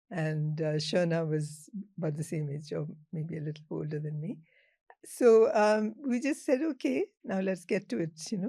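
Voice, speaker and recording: Somewhat breathy and dark, mellow in tone, this voice moves at a moderate pace with lively intonation. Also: woman, fairly low pitch for a woman. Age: 70s. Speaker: journalist. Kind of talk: interview. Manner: halting.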